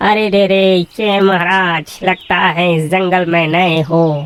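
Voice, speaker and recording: A cartoonish character voice talks at middle pitch. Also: fairly slow pace. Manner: chatty, flattering.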